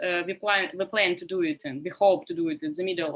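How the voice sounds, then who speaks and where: Her tone bright and sharp, a woman speaks at a medium pitch. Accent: Russian. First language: Russian. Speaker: survey researcher. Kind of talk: conference panel talk. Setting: video call. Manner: halting, many fillers.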